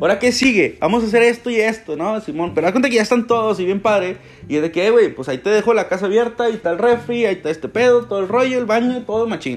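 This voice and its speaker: A man with a Mexican accent talks at a very fast pace with hardly any pauses, high in pitch for a man and with ordinary pitch variation. Noticeable background noise runs underneath. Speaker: solo podcaster. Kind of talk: casual monologue. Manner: hesitant, with many fillers and repetitions.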